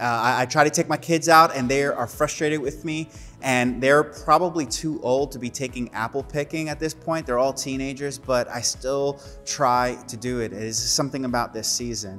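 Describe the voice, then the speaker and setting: A man is talking, his pitch varying in an ordinary way. Music sounds faintly behind him. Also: moderate pace. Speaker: pastor. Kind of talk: sermon. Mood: warm, upbeat. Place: studio.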